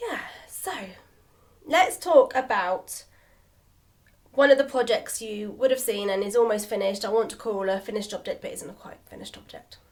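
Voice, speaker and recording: A woman with a British accent and a fairly high voice uses lively intonation and big swings in loudness, pausing long and often. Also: moderate pace. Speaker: knitting podcaster. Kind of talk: casual chat. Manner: chatty, rambling flow.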